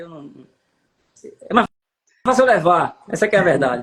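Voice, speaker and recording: A man at a moderate pace. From Paraíba, Brazilian Northeast. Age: 60s. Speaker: city councillor. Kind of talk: interview.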